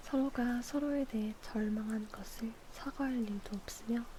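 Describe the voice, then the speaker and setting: Over noticeable background noise, a woman speaks slowly-ish at a fairly slow pace, in a fairly high pitch with fairly even intonation. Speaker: ASMR streamer. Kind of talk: ASMR book reading with rain sound. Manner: soft, intimate, slow.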